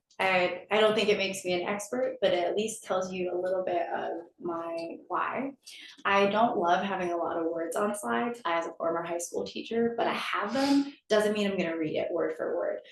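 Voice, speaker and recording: An American accent at a moderate pace, with ordinary pitch variation and noticeable background noise. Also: woman, medium pitch for a woman. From Connecticut, US. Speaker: nonprofit executive director. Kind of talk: campus talk.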